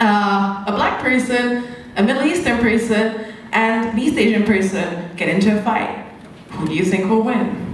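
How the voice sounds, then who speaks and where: A woman with a fairly high pitch speaks at a fairly slow pace with long, frequent pauses, ordinary pitch variation and very even loudness, with audible room echo and noticeable background noise. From Hungary, small town. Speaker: stand-up comedian. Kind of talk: stand-up. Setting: stage with audience. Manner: animated.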